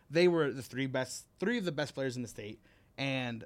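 Recorded very cleanly with a silent background, an ordinary speaking voice with an American accent moves at a moderate pace with ordinary pitch variation. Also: man. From Miami, Florida. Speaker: competitive gamer and coach. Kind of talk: casual chat. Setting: studio.

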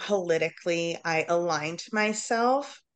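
Against a quiet background, a woman with an American accent has an ordinary speaking voice, fairly low in pitch, with ordinary pitch variation. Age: 30s. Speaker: social worker. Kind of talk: casual chat.

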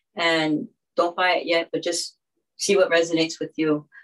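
A woman at a moderate pace, fairly low in pitch, an ordinary speaking voice. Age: 50s. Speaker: musician and songwriter. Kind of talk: live online roundtable discussion. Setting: video call.

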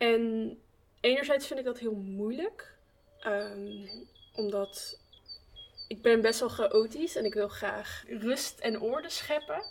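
With long, frequent pauses, a woman speaks at a very slow pace over noticeable background noise. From Breda. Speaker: art student and podcast hostess. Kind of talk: casual chat.

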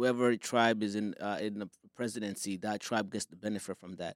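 In a Somali accent, a man speaks at a moderate pace with a fairly low pitch and monotone, flat intonation, in a very clean recording with a silent background and a dry, close sound with no echo. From Somalia. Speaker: filmmaker and soccer league founder. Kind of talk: casual interview. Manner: halting, with frequent fillers.

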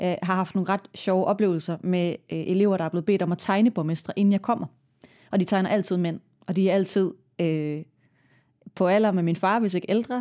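With a dark, mellow tone at a medium pitch, a woman talks at a moderate pace with fairly even intonation in a very clean recording with a silent background. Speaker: mayor. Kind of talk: interview.

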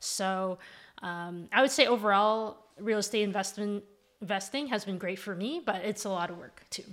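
A woman with a Canadian accent uses an ordinary speaking voice at a medium pitch and a moderate pace, with ordinary pitch variation and big swings in loudness. The recording is very clean, with a silent background. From Canada, Ontario (Mississauga). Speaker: real estate investor and architect. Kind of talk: interview conversation.

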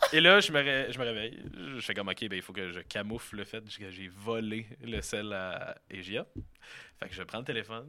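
A man with a Quebec accent speaks in a bright, sharp tone at a fairly low pitch, with big swings in loudness. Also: ordinary pitch variation, moderate pace. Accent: Québécois French. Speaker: podcast guest. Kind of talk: casual chat.

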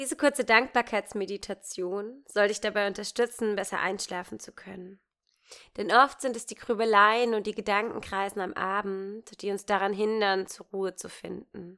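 With big swings in loudness, a woman uses an ordinary speaking voice at medium pitch and fairly even intonation, captured in a very clean recording with a silent background. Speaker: meditation guide. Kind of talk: guided meditation. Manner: slow, gentle, soothing pace with long pauses; warm, intimate, calm and reassuring.

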